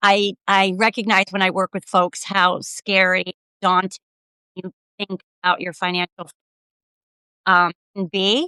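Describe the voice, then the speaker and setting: Recorded dry and close with no echo, a woman with a bright, sharp tone talks at a fairly slow pace. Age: 60s. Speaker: financial wellness advisor. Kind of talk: interview. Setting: livestream video call.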